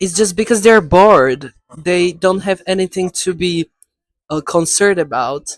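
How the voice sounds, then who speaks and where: A woman with a non-native accent, fairly low in pitch with ordinary pitch variation, at a moderate pace, in a dry, close sound with no echo. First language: not English. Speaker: video creator. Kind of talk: casual chat. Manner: halting.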